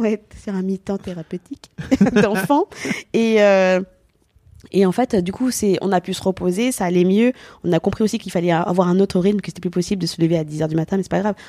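A woman speaks in an animated tone at a fairly quick pace, her pitch medium with ordinary variation. Long, frequent pauses break up her speech, and the sound is dry and close with no echo. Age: 30s. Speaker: comedian. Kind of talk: casual chat.

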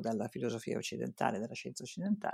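A woman's dark, mellow tone carries vocal fry, captured on a very clean recording with a silent background. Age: old. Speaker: psychologist. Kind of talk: interview.

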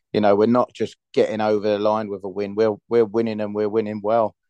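This man has a London accent. His pitch sits fairly low. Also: dry, close sound with no echo. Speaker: football fan. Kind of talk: casual chat. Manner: animated.

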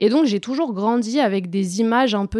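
In an ordinary speaking voice, a woman talks at a fairly slow pace with ordinary pitch variation, in a dry, close sound with no echo on a very clean recording with a silent background. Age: 20s. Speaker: coach. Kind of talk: interview.

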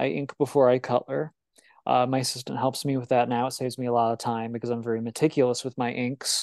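A man with a plain, everyday voice, medium in pitch, at a fairly quick pace with ordinary pitch variation, in an American accent, the sound dry and close with no echo over a quiet background. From Illinois. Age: 20s. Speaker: webcomic creator. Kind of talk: interview. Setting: video call.

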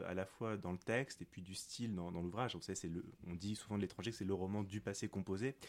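Over a silent background on a very clean recording, a man speaks very fast at a fairly low pitch with ordinary pitch variation. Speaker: philosophy teacher. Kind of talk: academic interview.

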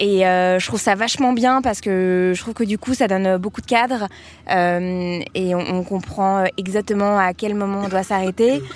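A woman speaks in a plain, everyday voice at a medium pitch, at a fairly slow pace with ordinary pitch variation. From Paris. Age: 20s. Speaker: marketing worker. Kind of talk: casual chat.

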